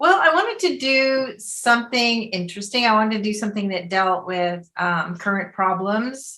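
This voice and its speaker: A woman with a plain, everyday voice and an American accent speaks at a moderate pace, fairly high in pitch with ordinary pitch variation. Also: hardly any pauses. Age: 60s. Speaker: filmmaker and teacher. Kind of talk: interview.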